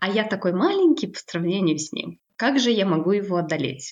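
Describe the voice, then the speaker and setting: A woman's medium-pitched voice at a moderate pace, an ordinary speaking voice. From Kazakhstan. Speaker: language teacher and psychologist. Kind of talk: casual interview.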